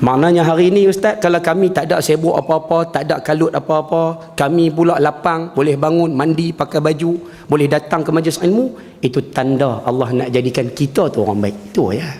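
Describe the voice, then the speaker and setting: The speaker sounds animated and moves at a fairly quick pace with hardly any pauses, keeping very even loudness and ordinary pitch variation over noticeable background noise. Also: man, fairly high pitch for a man. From northern Peninsular Malaysia. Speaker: religious teacher. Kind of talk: religious lecture. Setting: mosque with audience.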